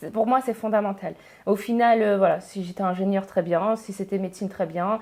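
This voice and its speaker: A woman's medium-pitched, fairly quick delivery with fairly even intonation, on a very clean recording with a silent background. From northern France, Pas-de-Calais. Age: 30s. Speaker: engineer and education entrepreneur. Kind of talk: podcast interview. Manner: hesitant, many fillers.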